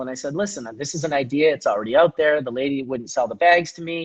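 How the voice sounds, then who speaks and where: Talking at a very fast pace, a man speaks in a Canadian accent. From Canada. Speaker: hash maker, cannabis entrepreneur. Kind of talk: interview, storytelling. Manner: animated.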